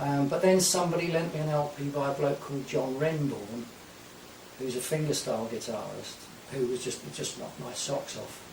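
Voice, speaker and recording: With noticeable background noise and audible room echo, a man speaks at a moderate pace and a fairly high pitch with ordinary pitch variation. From Essex, England. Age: 60s. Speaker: folk guitarist. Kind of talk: radio interview. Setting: radio studio.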